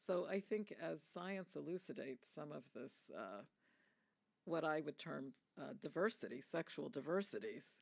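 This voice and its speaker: A woman's fairly low voice with vocal fry, lively intonation and a moderate pace. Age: 60s. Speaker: UN agency head, physician. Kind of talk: panel discussion Q&A. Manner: measured, with frequent fillers.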